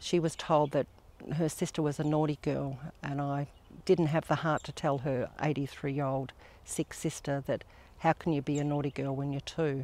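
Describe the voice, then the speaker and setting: Someone speaks with an Australian accent at a moderate pace. The recording is very clean, with a silent background. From Western Australia (Perth). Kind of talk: personal testimony. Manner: earnest, with frequent hesitations.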